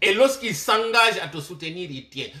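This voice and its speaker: A man talks at a fairly slow pace in a raised, projected voice, his pitch swinging very widely. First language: Malinke (Manding) (speaking French). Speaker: political commentator. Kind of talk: political commentary monologue. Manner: impassioned direct address.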